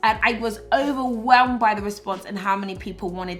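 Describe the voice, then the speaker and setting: Music plays in the background as a woman talks at a fairly quick pace. Her pitch varies in an ordinary way, with audible room echo. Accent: British. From Britain. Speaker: YouTuber and influencer. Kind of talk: vlog monologue.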